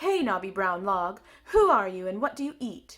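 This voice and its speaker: A loud, shouting woman in a put-on character voice, medium pitch, moderate pace. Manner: shouting, loud.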